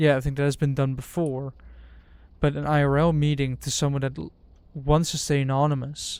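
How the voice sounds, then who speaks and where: In a very clean recording with a silent background, a man talks at a fairly quick pace. His Dutch accent comes with a fairly high pitch for a man and monotone, flat intonation. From Netherlands. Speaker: streamer. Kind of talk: casual chat.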